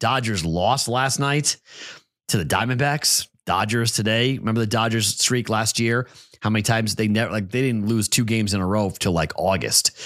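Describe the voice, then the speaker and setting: An American man speaks at a moderate pace and medium pitch in an unremarkable speaking voice, with ordinary pitch variation and very even loudness. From Boston. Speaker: sports betting podcast host. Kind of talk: solo betting picks podcast. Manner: casual, conversational.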